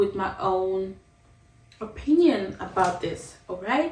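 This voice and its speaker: A woman with a non-native accent speaks at a medium pitch with ordinary pitch variation over noticeable background noise. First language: not English. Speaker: vlogger. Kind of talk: casual vlog monologue. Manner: conversational, with fillers and restarts.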